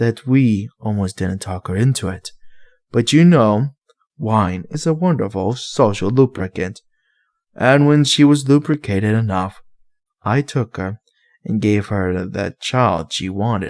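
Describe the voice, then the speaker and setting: This put-on character voice growls at a fairly slow pace with lively intonation. The recording is very clean, with a silent background and a dry, close sound with no echo. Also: man, medium pitch for a man. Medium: read story. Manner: sarcastic, defiant.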